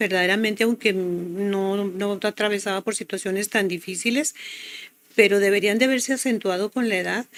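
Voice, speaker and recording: A woman talks in a normal speaking voice at a medium pitch and a moderate pace. Her pitch varies in an ordinary way, and the sound is dry and close with no echo. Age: 60s. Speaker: health product promoter. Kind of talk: testimony.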